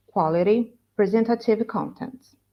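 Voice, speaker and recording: This woman has an unremarkable speaking voice. Her intonation is lively and her pace moderate. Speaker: graduate student presenter. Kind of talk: academic conference talk.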